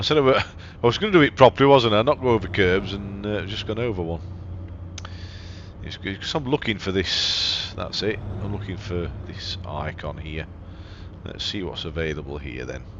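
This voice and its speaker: Big swings in loudness at a moderate pace, long, frequent pauses, and noticeable background noise. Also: man, fairly low pitch for a man. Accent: English. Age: 60s. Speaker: gaming YouTuber. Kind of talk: let's play gameplay commentary. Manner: casual, halting with repetitions.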